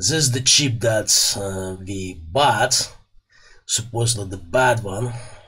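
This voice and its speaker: Over a quiet background, the voice moves at a very slow pace with ordinary pitch variation. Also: man, medium pitch for a man. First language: Russian. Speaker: electronics repair YouTuber. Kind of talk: tutorial. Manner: casual, hesitant with fillers. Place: workshop. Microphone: studio mic.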